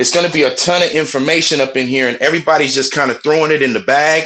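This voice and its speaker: At a fairly quick pace, a man with a fairly high pitch and a bright, sharp tone speaks with ordinary pitch variation. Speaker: call participant sharing advice. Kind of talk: group call discussion. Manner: passionate; loud, sounds like yelling.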